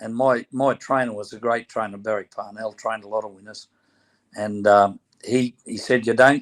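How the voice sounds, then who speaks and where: With a strong Australian accent, a man speaks at a medium pitch and moderate pace, his intonation monotone and flat. His loudness swings a lot, and the sound is dry and close with no echo. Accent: broad Australian. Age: 70s. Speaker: former boxer and horse trainer. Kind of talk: casual interview chat.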